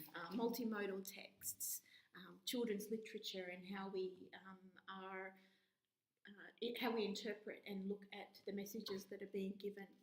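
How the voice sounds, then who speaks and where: With an Australian accent, a woman talks at a moderate pace in a medium pitch, her intonation monotone and flat. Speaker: university lecturer. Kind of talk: course introduction talk. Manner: hesitant, with filler words.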